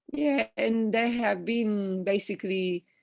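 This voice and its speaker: With an Italian accent, a woman speaks at a very slow pace with lively intonation. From Italy. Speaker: evolutionary ecologist. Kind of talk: interview answer.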